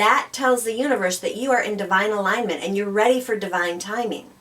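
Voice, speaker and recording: With noticeable background noise behind her, a woman talks at a fairly quick pace and medium pitch, using ordinary pitch variation. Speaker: spiritual talk show co-host. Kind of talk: conversational talk show discussion.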